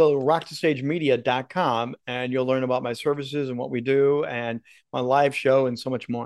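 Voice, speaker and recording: Here is a man with a normal speaking voice and a fairly high pitch. He talks at a moderate pace against a quiet background. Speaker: broadcast and speaking coach. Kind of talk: casual interview chat.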